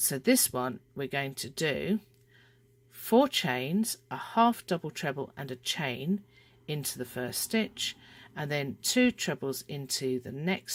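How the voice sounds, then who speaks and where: With a British accent, the speaker goes at a very slow pace on a very clean recording with a silent background. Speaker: crochet designer and tutor. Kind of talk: tutorial.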